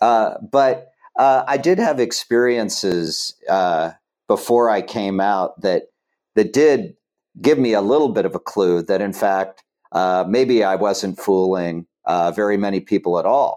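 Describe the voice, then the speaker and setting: Here is a man with an American accent and an ordinary speaking voice. His fairly low pitch has ordinary variation, and he talks at a fairly slow pace. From Ohio. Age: 60s. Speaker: political organizer. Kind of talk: casual chat.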